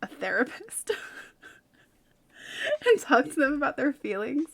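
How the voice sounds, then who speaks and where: In a very clean recording with a silent background, a woman with a Californian accent speaks at a moderate pace. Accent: California. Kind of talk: relaxed, casual.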